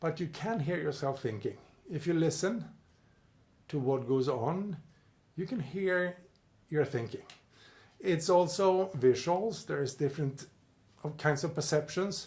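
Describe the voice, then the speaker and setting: With a Swedish accent, a man at a fairly high pitch speaks at a fairly slow pace with ordinary pitch variation and long, frequent pauses, amid audible room echo. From Sweden. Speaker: personal development coach. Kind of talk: video lecture with whiteboard drawing.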